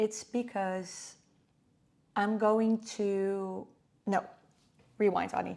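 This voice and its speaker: The recording is very clean, with a silent background. A woman with a non-native accent and a dark, mellow tone speaks at a very slow pace. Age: 30s. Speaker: vlogger. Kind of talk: screen-recording tutorial vlog. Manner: casual, hesitant with fillers.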